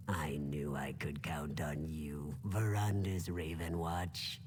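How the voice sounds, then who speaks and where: Someone uses a put-on character voice at a fairly slow pace. Clear background noise runs underneath. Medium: video game. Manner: ingratiating.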